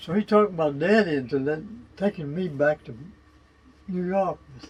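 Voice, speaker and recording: A man with a Virginia Tidewater accent speaks at a high pitch and a moderate pace. His loudness swings widely while his pitch variation stays ordinary. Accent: Virginia Tidewater Southern. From Virginia, Middlesex County (Deltaville). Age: 100 years old. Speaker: war veteran and retired hardware merchant. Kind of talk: oral history interview. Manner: halting, with false starts and repetitions.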